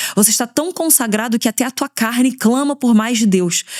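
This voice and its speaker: A woman with a fairly high pitch. Her tone is animated. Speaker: pastor and podcast host. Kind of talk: devotional teaching. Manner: fast.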